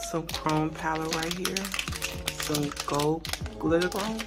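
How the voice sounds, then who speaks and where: Loud music plays in the background. The speech goes at a very slow pace. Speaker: nail art content creator. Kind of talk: casual unboxing review to camera. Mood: pleased, enthusiastic. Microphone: phone near.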